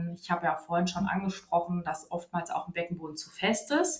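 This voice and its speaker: A woman with a fairly low, somewhat breathy voice talks at a moderate pace in a monotone, flat intonation. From Hesse, Germany (Wiesbaden). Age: 30s. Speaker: physiotherapist. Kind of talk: interview. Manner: hesitant, many fillers.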